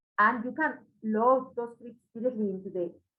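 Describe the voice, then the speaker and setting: Her pitch is fairly high with ordinary variation. The woman talks in a Spanish accent. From Spain. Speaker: microscopy product specialist. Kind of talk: webinar presentation. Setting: webinar.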